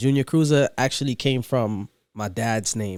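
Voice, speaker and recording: A man speaks in a normal speaking voice with an American accent at a moderate pace, the sound dry and close with no echo. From New York, Brooklyn. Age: 20s. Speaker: DJ. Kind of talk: casual chat.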